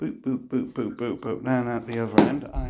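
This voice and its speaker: Noticeable background noise sits behind a man speaking with a British accent. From UK. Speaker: DIY camper van builder. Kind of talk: casual tutorial. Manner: informal, hesitant with fillers.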